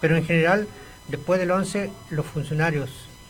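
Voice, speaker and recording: A man speaks with a high pitch and fairly even intonation. Noticeable background noise and audible room echo fill the recording. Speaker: retired teacher and political activist. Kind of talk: radio interview.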